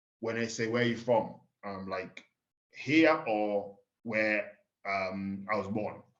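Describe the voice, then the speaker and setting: Pausing long and often, a man with an English accent speaks very slowly in a fairly low pitch with ordinary variation. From Kenya. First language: Swahili. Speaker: pig farmer. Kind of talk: casual chat.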